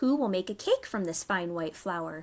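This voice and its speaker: Using a put-on character voice, a woman speaks at a medium pitch and a moderate pace. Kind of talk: bedtime story. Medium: read story. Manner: earnest, insistent.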